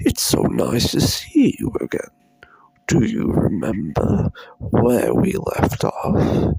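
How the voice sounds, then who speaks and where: Using a put-on character voice, a man rasps out his words at a very slow pace. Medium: read story. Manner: slow, coaxing.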